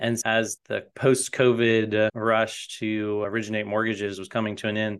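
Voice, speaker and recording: Over a quiet background, a man's fairly low voice holds a monotone, flat intonation. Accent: American. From US South, North Carolina (Raleigh). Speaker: mortgage loan officer and company founder. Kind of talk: interview.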